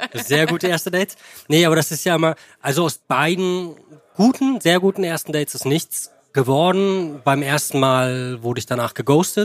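Fairly high in pitch, this man has a normal speaking voice with lively intonation at a moderate pace. The sound is dry and close, with no echo. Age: 30s. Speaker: advertising creative on a podcast date. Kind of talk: casual chat.

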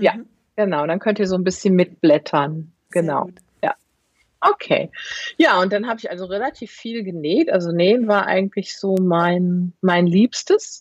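With a plain, everyday voice at a medium pitch, a woman speaks at a fairly slow pace with ordinary pitch variation in a dry, close sound with no echo. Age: 50s. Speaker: knitwear designer. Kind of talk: casual chat.

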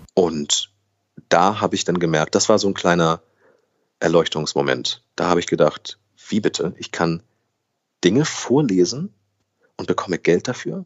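The speech moves at a moderate pace with ordinary pitch variation and long, frequent pauses. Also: man, very deep, low pitch for a man. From Germany, raised trilingual with Brazilian mother. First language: Brazilian Portuguese (speaking German). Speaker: actor, voice actor and newsreader. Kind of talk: casual interview.

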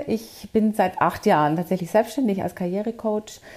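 Her tone is dark and mellow at a medium pitch. The woman is heard on a very clean recording with a silent background. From Bavaria. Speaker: career coach. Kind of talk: interview.

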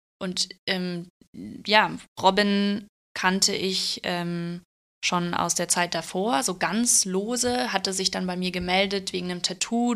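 A woman talks at a fairly slow pace in a plain, everyday voice. Her pitch is medium and her intonation fairly even. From Bavaria, Germany. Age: 30s. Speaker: tattoo artist. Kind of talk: casual interview chat.

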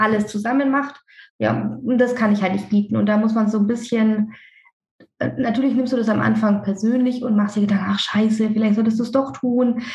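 Somewhat breathy, a woman speaks at a very fast pace. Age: 30s. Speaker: dentist and practice owner. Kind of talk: casual interview. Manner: talkative, hesitant with fillers.

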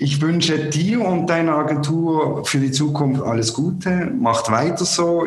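A man speaks at a very slow pace amid audible room echo and noticeable background noise. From Switzerland. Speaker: podcast host. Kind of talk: interview. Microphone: poor sound quality.

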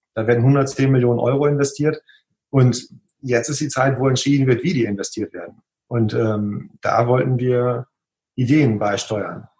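A somewhat breathy man's voice of medium pitch, with fairly even intonation and a moderate pace. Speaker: graphic designer. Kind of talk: interview. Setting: video call.

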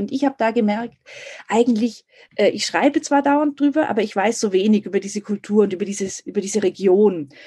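Her voice fairly high and somewhat breathy, a woman speaks at a fairly quick pace with ordinary pitch variation in a dry, close recording with no echo. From Munich, Germany. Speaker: editor-in-chief. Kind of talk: interview.

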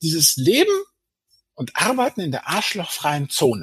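At a moderate pace, a man speaks with a dry, close sound and no echo. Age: 50s. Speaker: finance blogger and author. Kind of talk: interview. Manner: hesitant with many fillers.

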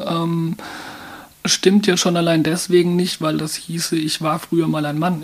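Against noticeable background noise, a woman speaks at a fairly slow pace and fairly low pitch with monotone, flat intonation. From Mannheim, Germany. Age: 30s. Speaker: transgender counselor and volunteer. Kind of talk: interview. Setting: studio.

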